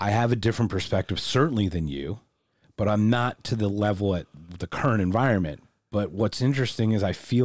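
A normal speaking voice with an American accent at a fairly quick pace, ordinary pitch variation, dry, close sound with no echo and a very clean recording with a silent background. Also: man. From United States. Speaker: podcast host. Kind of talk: casual interview. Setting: video recording.

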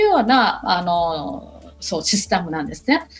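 Through noticeable background noise, a woman with a Burmese accent speaks at a fairly slow pace with very wide pitch swings. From Myanmar, Yangon. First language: Burmese (speaking Japanese). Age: 40s. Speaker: university lecturer. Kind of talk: radio interview. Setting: remote call. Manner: hesitant with fillers.

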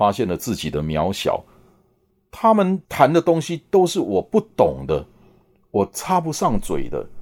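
The man's pitch swings very widely while he talks at a fairly slow pace. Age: 60s. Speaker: podcast host. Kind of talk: monologue.

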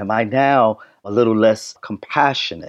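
The speaker is a man. His voice sounds dry and close, with no echo. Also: quiet background. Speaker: behavioral health educator. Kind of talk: interview.

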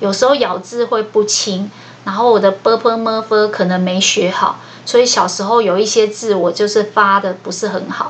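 With noticeable background noise behind her, a woman talks in a fairly high pitch with fairly even intonation. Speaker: podcast host sharing book notes. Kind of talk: solo scripted book-notes podcast. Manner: slowed down, following a script.

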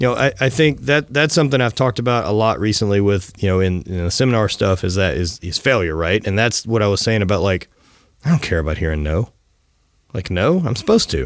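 Speaking at a very fast pace with a Southern US accent, a man uses lively intonation and a fairly low pitch on a very clean recording with a silent background. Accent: Southern US twang. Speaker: podcast host and apparel entrepreneur. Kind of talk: casual interview.

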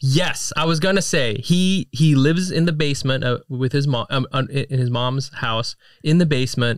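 This man has a normal speaking voice, fairly high in pitch with ordinary pitch variation. He keeps a moderate pace with hardly any pauses. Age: 30s. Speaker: podcast co-host and comedian. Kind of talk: casual chat.

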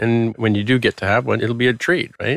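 This man has an ordinary speaking voice at medium pitch, fairly quick in pace with fairly even intonation. The very clean recording has a silent background and a dry, close sound with no echo. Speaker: software developer and tech podcaster. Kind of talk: casual interview chat.

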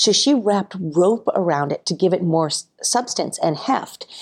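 A woman with an ordinary speaking voice, medium pitch and moderate pace. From Massachusetts, moved to California at twelve. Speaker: nonprofit founder. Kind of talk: interview. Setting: remote interview from home.

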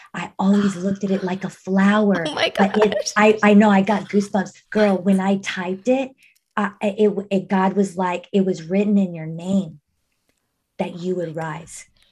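At a moderate pace, a woman talks in a somewhat breathy voice of medium pitch with fairly even intonation. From Mexico (Monterrey). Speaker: mindfulness coach. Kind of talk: casual chat.

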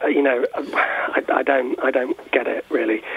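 A man speaks with an English accent over noticeable background noise. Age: 40s. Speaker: university lecturer and author. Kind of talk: radio interview. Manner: hesitant, many fillers.

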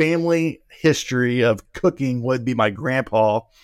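A man with an American accent has a plain, everyday voice with lively intonation at a fairly slow pace. The recording is very clean, with a silent background. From Oklahoma. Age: 40s. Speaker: pastor and barbecue content creator. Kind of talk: casual interview chat.

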